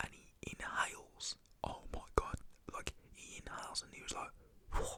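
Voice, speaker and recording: A man is whispering. He speaks at a fairly slow pace. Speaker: ASMR storyteller. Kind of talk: ASMR storytime, casual personal anecdote. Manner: whispered, conversational.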